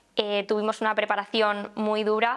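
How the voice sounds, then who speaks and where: This is a woman speaking. Her pace is moderate. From Valencia, Spain; Spain. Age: 20s. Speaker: plastic surgeon, festival queen candidate; candidate. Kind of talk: candidate interview. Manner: hesitant, with fillers. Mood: cheerful, smiling. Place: home room.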